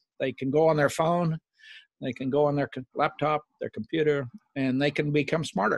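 An American-accented man with a fairly high pitch talks at a moderate pace with fairly even intonation, in a dry, close sound with no echo over a quiet background. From Oklahoma. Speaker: retired executive and author. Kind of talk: interview.

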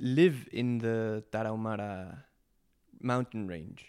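A man speaks with a Spanish accent. His voice sits at a medium pitch. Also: very clean recording, silent background. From Mexico City, Mexico. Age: 20s. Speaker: documentary filmmaker and environmental activist. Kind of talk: interview conversation. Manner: halting, with frequent repetitions.

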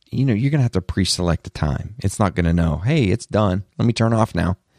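Speaking with a Southern US accent and lively intonation, the voice is heard in a very clean recording with a silent background and a dry, close sound with no echo. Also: man. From US South. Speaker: tech podcast host. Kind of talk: solo podcast monologue. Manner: animated.

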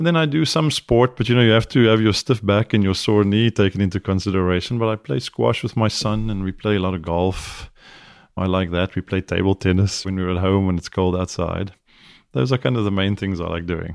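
A man with a South African accent talks at a fairly quick pace in a fairly low pitch. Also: ordinary pitch variation. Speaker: neurosurgeon. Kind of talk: interview conversation.

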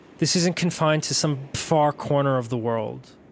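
This man's voice sits fairly high in pitch. His pitch variation is ordinary. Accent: New York. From New York, Staten Island. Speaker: podcast host and storyteller. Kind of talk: personal narrative storytelling.

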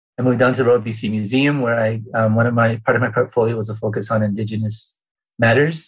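A man with a Canadian accent, medium in pitch, somewhat breathy, monotone and flat, at a very fast pace. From Vancouver Island, British Columbia, Canada. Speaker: archivist. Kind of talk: interview. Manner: halting, many fillers.

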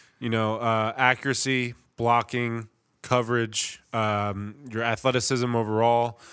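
A man with an American accent speaks at a medium pitch in a monotone, flat intonation. The recording is very clean, with a silent background. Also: fairly slow pace. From New Jersey, Middletown. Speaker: football long snapper. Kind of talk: casual interview.

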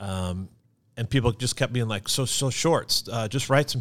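In an American accent, a man with an unremarkable speaking voice talks at a moderate pace and medium pitch with ordinary pitch variation, on a very clean recording with a silent background. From Kansas City area, Missouri. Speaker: video production company founder. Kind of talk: casual interview chat.

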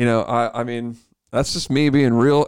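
An unremarkable speaking voice, a man of medium pitch talks at a fairly quick pace with fairly even intonation in a very clean recording with a silent background. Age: 30s. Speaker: podcast co-host. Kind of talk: casual chat.

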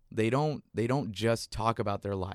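A man with an American accent and an ordinary speaking voice, fairly low pitch and moderate pace, in a very clean recording with a silent background and a dry, close sound with no echo. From South Texas, McAllen border town. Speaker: comedian and writer. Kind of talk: casual chat.

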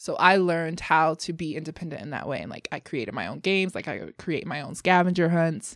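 A woman with an American accent and vocal fry speaks at a very fast pace, in a fairly low pitch with ordinary pitch variation, in a very clean recording with a silent background. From Denver, Colorado, US. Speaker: poet. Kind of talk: casual chat.

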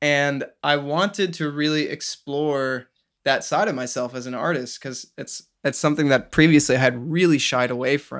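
This is an unremarkable speaking voice at a moderate pace. Its intonation stays fairly even. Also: man, fairly high pitch for a man. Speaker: singer-songwriter. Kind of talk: casual chat. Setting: video call. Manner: casual, filler-heavy.

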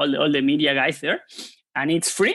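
In a dry, close sound with no echo and a quiet background, a man with a Spanish accent speaks in a fairly high pitch with ordinary pitch variation and a bright, sharp tone. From Argentina, Buenos Aires. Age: 30s. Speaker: poker author. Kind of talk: casual interview. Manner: halting, many repetitions.

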